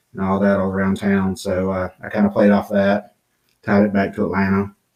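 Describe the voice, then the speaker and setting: A man speaks with a Georgia accent. His voice is fairly low and his pace fairly quick. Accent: Southern American (Georgia). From US South, southwest Georgia. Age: 50s. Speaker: children's book author. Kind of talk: podcast interview. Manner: casual, hesitant with fillers.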